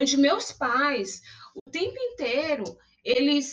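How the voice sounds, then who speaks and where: Here a woman speaks in a high pitch. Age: 40s. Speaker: university lecturer and public relations professional. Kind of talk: podcast interview.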